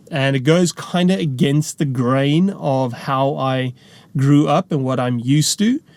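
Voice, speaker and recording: A man with a South African accent speaks at a fairly slow pace, fairly high in pitch with ordinary pitch variation. The sound is dry and close, with no echo. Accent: Afrikaans South African English. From South Africa, rural farm. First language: Afrikaans. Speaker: preacher. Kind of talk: testimony. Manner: casual, conversational.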